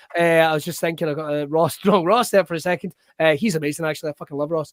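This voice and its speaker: With a strong Scottish accent, a man talks at a very fast pace in a fairly high pitch and fairly even intonation, the sound dry and close with no echo. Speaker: wrestling show host. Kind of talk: casual chat.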